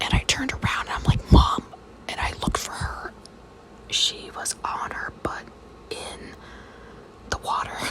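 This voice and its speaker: A woman whispers over noticeable background noise. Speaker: mother who makes ASMR videos. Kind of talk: whispered ASMR storytelling. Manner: whispered, storytelling.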